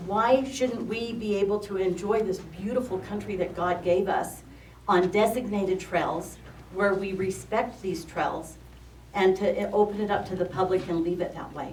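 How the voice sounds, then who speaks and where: There is audible room echo around a woman speaking at a moderate pace. Her pitch is medium, with ordinary variation. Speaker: member of the public commenting. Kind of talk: public comment at meeting.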